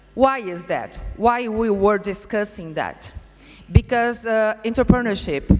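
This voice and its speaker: With a Brazilian Portuguese accent, a woman speaks at a fairly slow pace in a fairly high pitch, showing ordinary pitch variation and big swings in loudness. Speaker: vocational education institute director. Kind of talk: conference presentation. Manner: halting, many hesitations.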